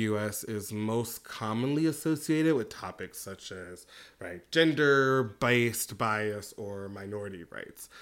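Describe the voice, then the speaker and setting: A man with an American accent talks in an unremarkable speaking voice at a medium pitch, fairly slowly and with hardly any pauses. His loudness swings widely, his pitch varies in an ordinary way, and the recording is very clean with a silent background. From US Midwest. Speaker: podcast co-host. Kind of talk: casual chat.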